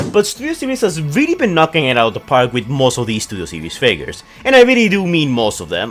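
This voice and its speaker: A man talks while noticeable background noise carries on around him. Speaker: toy and movie news YouTuber. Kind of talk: casual talk to camera.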